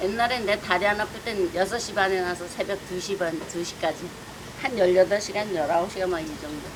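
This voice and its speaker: At a moderate pace and medium pitch, a woman speaks with ordinary pitch variation over noticeable background noise. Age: 70s. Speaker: street food shop owner. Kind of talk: interview answer.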